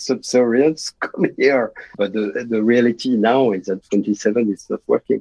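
A man with a French accent at a medium pitch and a fairly slow pace. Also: dry, close sound with no echo. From France. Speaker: international banker. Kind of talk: interview.

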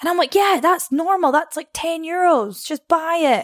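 Her pitch is high, and the woman talks at a moderate pace. The sound is dry and close, with no echo. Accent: Scottish. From northeast Scotland (Arbroath). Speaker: personal trainer. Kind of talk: casual chat. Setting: in person.

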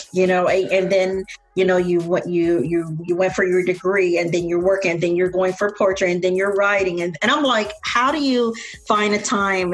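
A woman with an American accent at a fairly quick pace, ordinary pitch variation, and noticeable background noise. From Tampa, Florida. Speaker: podcast host. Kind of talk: casual interview.

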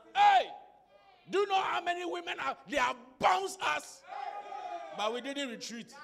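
A man with an extremely high pitch speaks in an animated tone at a moderate pace, making very wide pitch swings. Long, frequent pauses break up his speech, with crowd noise in the background. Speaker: preacher. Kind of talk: sermon with call-and-response prayer. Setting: church with congregation. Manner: loud, commanding, rhythmic, repeating phrases for the crowd to echo; animated, exhortative, urging the congregation to clap and shout.

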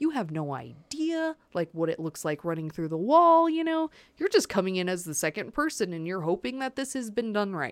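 With an American accent, a woman talks at a moderate pace and a medium pitch, her pitch swinging very widely and hardly any pauses, in a very clean recording with a silent background. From California and Florida. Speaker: podcast guest. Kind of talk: casual chat. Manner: casual, animated.

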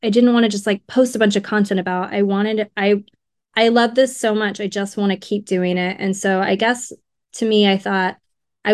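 A woman with an American accent talks at a moderate pace. Her medium pitch carries fairly even intonation. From Southern California, Riverside. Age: 30s. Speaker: funeral director. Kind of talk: casual interview.

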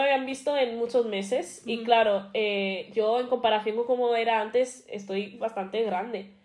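With hardly any pauses, a woman talks at a fairly slow pace in a fairly high pitch with ordinary pitch variation. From Spain, Madrid. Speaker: podcast co-host. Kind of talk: casual chat.

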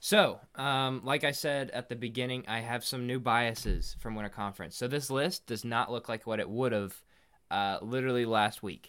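This man has an unremarkable speaking voice at a medium pitch with ordinary pitch variation, on a very clean recording with a silent background. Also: moderate pace. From Indiana. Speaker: podcast co-host. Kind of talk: casual chat.

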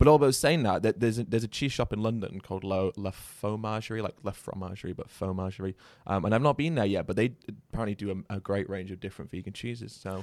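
Over a silent background on a very clean recording, a man with a British accent talks at a very fast pace with a fairly low pitch. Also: ordinary pitch variation. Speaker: podcast host. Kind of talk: casual interview chat.

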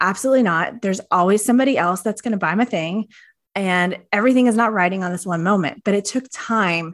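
A woman talks in a normal speaking voice at a fairly quick pace, with medium pitch and ordinary pitch variation against a quiet background. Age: 40s. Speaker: social media coach and fitness influencer. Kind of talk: casual chat.

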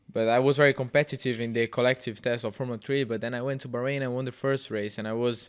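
A man with a Portuguese accent speaks at a very fast pace and a medium pitch. His intonation is fairly even, on a very clean recording with a silent background. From Brazil. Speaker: racing driver. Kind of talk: casual chat. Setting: studio.

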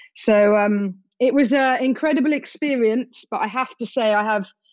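A woman in an ordinary speaking voice, moderate in pace, with ordinary pitch variation. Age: 40s. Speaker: adventurer and conservation charity founder. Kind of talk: interview.

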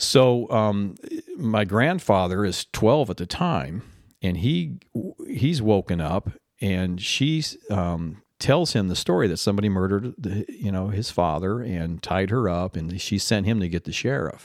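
This very clean recording with a silent background has a man speaking fairly slowly in a fairly low voice. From Arizona (Tempe). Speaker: author, Air Force veteran. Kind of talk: interview. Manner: halting, many repeated words.

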